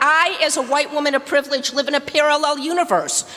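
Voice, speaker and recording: A woman's raised, projected voice at a moderate pace, against noticeable background noise. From US Midwest, Detroit. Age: 60s. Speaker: activist. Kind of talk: public comment. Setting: public meeting. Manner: forceful.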